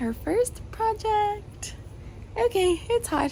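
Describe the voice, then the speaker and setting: A woman talks while noticeable noise fills the background. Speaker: homemaker vlogger. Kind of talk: casual vlog talk. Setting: outdoors in backyard; at home, night. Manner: quiet, talking softly.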